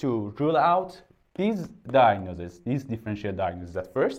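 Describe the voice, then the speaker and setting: A man with a Persian accent speaks at a medium pitch and a fairly slow pace. His pitch swings very widely, and the recording is very clean with a silent background. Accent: non-native English, Persian. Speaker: doctor. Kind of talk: medical lecture. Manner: halting, many filler sounds.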